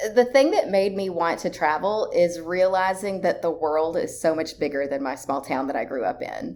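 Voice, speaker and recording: Barely pausing, a woman with a fairly low pitch and a Tennessee accent talks with lively intonation. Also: moderate pace. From rural Tennessee. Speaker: travel writer. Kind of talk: casual interview chat.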